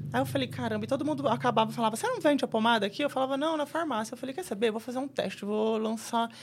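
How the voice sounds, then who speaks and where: Her pitch fairly high and touched with vocal fry, a woman races along at a very fast pace with lively intonation and hardly any pauses. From Brazil, São Paulo state interior. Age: 30s. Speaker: tattoo artist. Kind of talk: casual chat.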